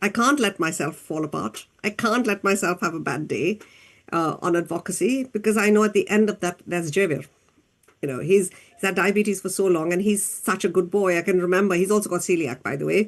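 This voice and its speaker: At a fairly quick pace, a woman with an unremarkable speaking voice talks at a medium pitch with ordinary pitch variation and big swings in loudness. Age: 60s. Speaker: doctor and diabetes advocate. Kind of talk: interview.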